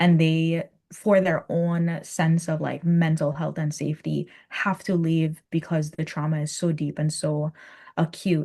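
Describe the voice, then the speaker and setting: Against a quiet background, a woman with a Virgin Islands accent speaks at a fairly slow pace in a fairly low, somewhat breathy voice with a dark, mellow tone and monotone, flat intonation. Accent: Virgin Islands Caribbean. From US Virgin Islands. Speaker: Caribbean culture and spirituality guest. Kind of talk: podcast interview.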